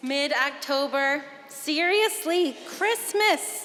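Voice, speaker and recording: A woman speaks with an extremely high pitch. Noticeable background noise is present. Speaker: pastor. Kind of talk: sermon to a congregation.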